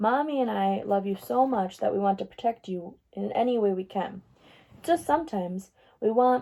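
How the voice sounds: The voice is a natural reading voice. Nothing else marks it.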